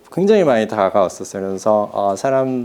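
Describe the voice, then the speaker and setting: A man speaks with lively intonation. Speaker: soil scientist professor, book author. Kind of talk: talk to an audience. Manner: hesitant, many fillers.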